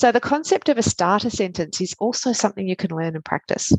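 A woman speaks with an Australian accent in a dry, close sound with no echo over a quiet background. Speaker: pediatric emergency physician and coach. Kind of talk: interview chat. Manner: fast talker.

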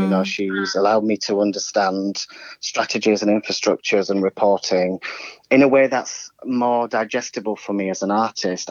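A man with an ordinary speaking voice and a fairly low pitch talks with ordinary pitch variation in a dry, close sound with no echo. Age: 40s. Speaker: choreographer. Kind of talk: casual interview chat.

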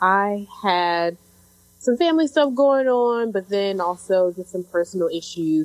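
A woman with an unremarkable speaking voice, medium pitch, lively intonation and a fairly slow pace. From Chicago. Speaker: podcast co-host. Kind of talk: casual chat.

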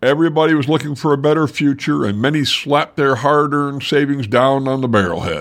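A man talks at a fairly quick pace in a fairly high pitch. He has an ordinary speaking voice. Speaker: local history podcaster. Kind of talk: scripted historical narration. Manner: measured, storyteller-like pacing; conversational and warm, with a folksy tone.

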